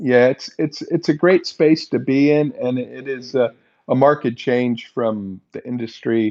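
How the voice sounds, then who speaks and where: A man with a plain, everyday voice, medium pitch, ordinary pitch variation, fairly slow pace. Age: 60s. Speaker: podcast co-host, finance veteran. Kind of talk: casual podcast chat.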